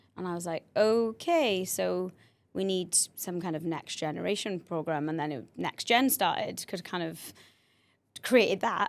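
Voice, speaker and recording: A woman with a Welsh accent speaks at a fairly slow pace in a medium pitch, her intonation lively, on a very clean recording with a silent background. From South Wales. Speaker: cheer programme founder and coach. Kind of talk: podcast interview.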